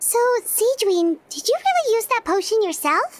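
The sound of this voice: A woman puts on a squeaky character voice, extremely high in pitch, with lively intonation at a moderate pace.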